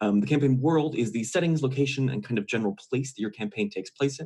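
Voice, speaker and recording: A man at medium pitch speaks with lively intonation. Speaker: game designer giving a conference talk. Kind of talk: conference talk. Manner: fast.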